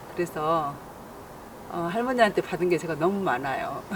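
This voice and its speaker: Against noticeable background noise, a woman with a fairly low pitch speaks with lively intonation. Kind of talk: interview answer.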